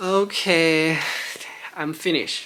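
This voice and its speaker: A man with a Chinese accent speaks at a very slow pace, his tone bright and sharp and his intonation fairly even. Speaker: YouTuber, former figure skating coach. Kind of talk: casual chat; reading aloud. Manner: halting, many restarts.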